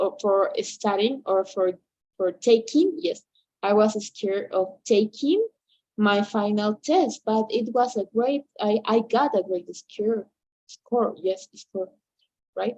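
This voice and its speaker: In a dry, close sound with no echo, a woman with a Spanish accent speaks at a very slow pace and fairly high pitch, her dark, mellow tone showing ordinary pitch variation and long, frequent pauses. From Bolivia, Cochabamba. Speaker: English teacher. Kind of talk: online English lesson. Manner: halting, many fillers and repetitions.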